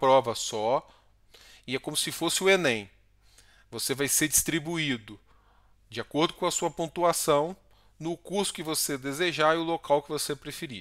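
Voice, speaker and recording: A man's fairly high voice at a moderate pace, with long, frequent pauses and ordinary pitch variation, against a quiet background. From Brazil. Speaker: Brazilian doctor and YouTuber. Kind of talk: tutorial. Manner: casual, frequent filler words. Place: home room. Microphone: headset.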